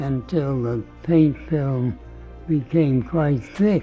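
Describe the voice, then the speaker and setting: A man speaks at a very slow pace with a fairly high pitch. His pitch varies in an ordinary way, and music plays in the background. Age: 80s+. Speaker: painter. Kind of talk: documentary talk.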